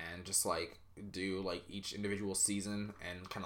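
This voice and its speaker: The voice has a bright, sharp tone and monotone, flat intonation at a moderate pace. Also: man. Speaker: solo podcast host reviewing K-pop albums. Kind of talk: casual solo review commentary. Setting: home recording. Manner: frequent filler 'um', hesitant; flat, low-energy tone.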